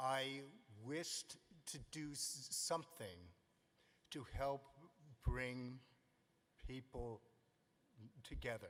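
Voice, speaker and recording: A very slow, medium-pitched male voice with an American accent and ordinary pitch variation. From US West Coast, Los Angeles. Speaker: humanitarian award recipient. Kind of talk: formal acceptance speech. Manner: formal.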